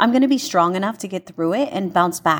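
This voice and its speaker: Her pitch swings very widely as this woman speaks. The recording is very clean, with a silent background. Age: 30s. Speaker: fitness instructor. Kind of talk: personal testimony.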